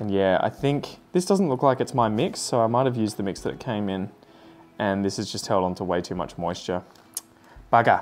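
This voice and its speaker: With an Australian accent, a man talks at a fairly quick pace, his fairly low pitch showing ordinary variation. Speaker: plant content creator. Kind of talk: casual vlog chat while doing chores.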